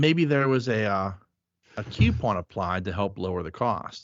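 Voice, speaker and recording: A fairly low-pitched man with a Pittsburgh accent, lively intonation and a fairly slow pace. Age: 40s. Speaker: podcast host. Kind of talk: casual chat.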